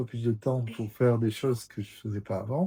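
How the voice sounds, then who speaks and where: On a very clean recording with a silent background, a man speaks in a dark, mellow, somewhat breathy tone. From French Basque Country (Bayonne). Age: 60s. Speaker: artist and former photographer, channel host. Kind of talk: casual interview chat. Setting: at a friend's home. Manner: hesitant, many fillers.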